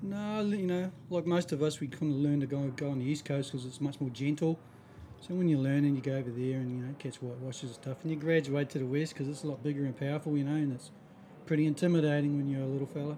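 A man speaks very fast with a New Zealand accent. His pitch is fairly high and his intonation fairly even. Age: 50s. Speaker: surfboard shaper. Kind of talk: casual interview.

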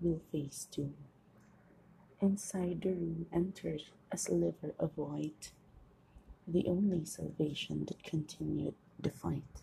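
A woman speaks at a very slow pace with a dark, mellow tone, a fairly low pitch and vocal fry. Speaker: podcaster and amateur author. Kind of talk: reading own poems aloud; casual solo talk. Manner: halting, self-correcting.

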